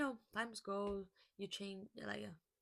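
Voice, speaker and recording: Speaking at a fairly slow pace, a woman with a Portuguese accent keeps her intonation fairly even. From Brazil. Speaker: lifestyle vlogger. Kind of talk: casual vlog monologue. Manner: halting.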